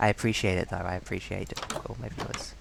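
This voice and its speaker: With a New Zealand accent, a man speaks at a fairly low pitch. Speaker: streamer. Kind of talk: live gameplay commentary. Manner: halting.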